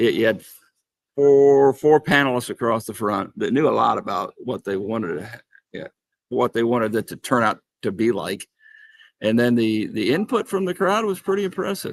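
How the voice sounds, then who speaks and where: Someone with an American accent speaks with very wide pitch swings in a dry, close sound with no echo. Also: man, medium pitch for a man, moderate pace. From US Midwest, Indianapolis. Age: 60s. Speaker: author. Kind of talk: casual chat. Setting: convention hall. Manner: halting, many fillers and repeats.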